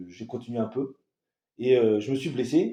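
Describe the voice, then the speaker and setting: This man's voice sits at a medium pitch with a dark, mellow tone. He talks at a moderate pace. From southern France (Toulon). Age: 20s. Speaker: coaching client. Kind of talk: interview testimony. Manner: hesitant, many fillers.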